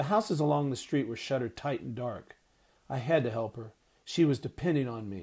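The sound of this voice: An unforced reading voice is used here. It carries the whole clip.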